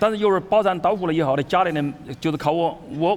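Speaking very fast with a Chinese accent, a man uses ordinary pitch variation. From Hubei, China. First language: Mandarin Chinese. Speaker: chef. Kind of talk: onstage interview through interpreter. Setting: stage with audience.

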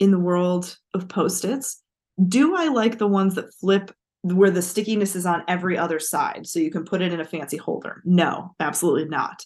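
A woman's normal speaking voice at medium pitch and moderate pace, with ordinary pitch variation and a quiet background. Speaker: literature professor and podcast co-host. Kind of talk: casual chat. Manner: laughs often.

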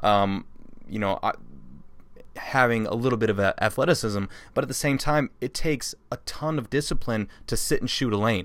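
Speaking at a moderate pace, a man has a medium pitch, ordinary pitch variation, and an unremarkable speaking voice. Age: 30s. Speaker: paintball podcast host and player. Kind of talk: casual interview chat.

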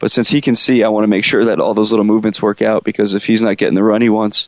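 A man speaks at a very fast pace in a fairly low voice with fairly even intonation. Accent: American. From central Pennsylvania, US. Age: 20s. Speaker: professional luger. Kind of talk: interview.

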